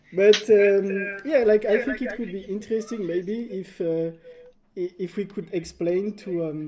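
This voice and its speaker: Against noticeable background noise, the speaker talks at a fairly slow pace in a French accent. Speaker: indie game developer and livestream host. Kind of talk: casual livestream chat. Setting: livestream. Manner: halting, many fillers.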